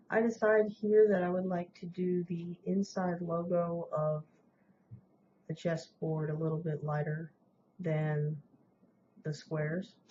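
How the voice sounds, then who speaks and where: Soft-spoken and somewhat breathy, a woman talks at a fairly slow pace in a fairly low pitch, her intonation fairly even, with long, frequent pauses. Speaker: woodburning hobbyist. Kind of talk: tutorial voiceover. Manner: casual, with fillers.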